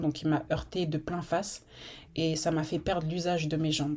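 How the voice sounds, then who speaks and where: The voice has a dark, mellow tone and monotone, flat intonation, captured in a very clean recording with a silent background. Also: woman. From Normandy, France (Rouen). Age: 30s. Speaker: podcast host. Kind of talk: casual monologue.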